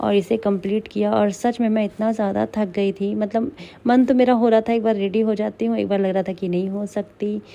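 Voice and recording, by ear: A woman's medium-pitched voice with vocal fry, a dark, mellow tone and a moderate pace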